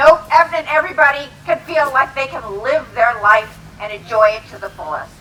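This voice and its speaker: A woman's high-pitched, raised and projected voice at a moderate pace, with lively intonation, big swings in loudness and noticeable background noise. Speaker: city council member. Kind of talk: rally speech. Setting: stage with audience.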